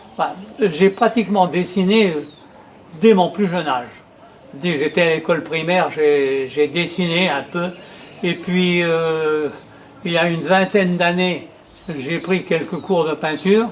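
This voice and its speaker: Over noticeable background noise, a man with a high pitch talks at a fairly slow pace, leaving long, frequent pauses. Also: fairly even intonation. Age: 80s+. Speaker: retired painter and amateur poet. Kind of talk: interview testimony. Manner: hesitant, many fillers and repetitions.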